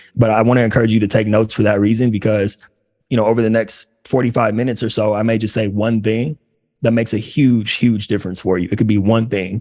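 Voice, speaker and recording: Using a dark, mellow tone, a man talks at a very fast pace with monotone, flat intonation. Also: medium pitch for a man. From Los Angeles, US. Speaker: career coach for former athletes. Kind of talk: workshop talk.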